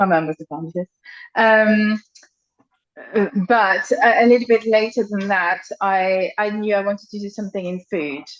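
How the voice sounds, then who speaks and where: A woman with a French accent speaks at a moderate pace and medium pitch, with ordinary pitch variation. Her loudness swings widely, and the sound is dry and close with no echo. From France. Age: middle-aged. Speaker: nutritionist. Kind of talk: podcast interview. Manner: hesitant, many fillers.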